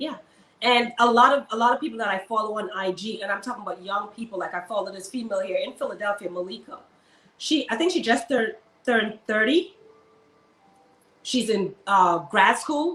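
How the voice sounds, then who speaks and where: A woman speaks with a Caribbean accent at a fairly high pitch and a fairly quick pace. Her intonation is lively, broken by long, frequent pauses. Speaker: army servicewoman and luxury shopper. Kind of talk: interview.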